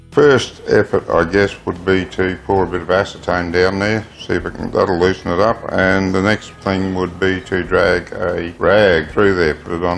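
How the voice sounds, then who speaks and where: The pace is moderate. Light background noise can be heard. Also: man. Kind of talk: tutorial. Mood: calm, explanatory. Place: garage. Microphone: phone near.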